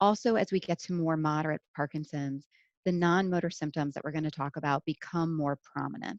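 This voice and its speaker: Fairly quick speech with ordinary pitch variation, recorded dry and close with no echo against a quiet background. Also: woman, very deep, low pitch for a woman. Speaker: neurologist. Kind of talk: lecture. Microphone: head-mounted mic, sounds quiet.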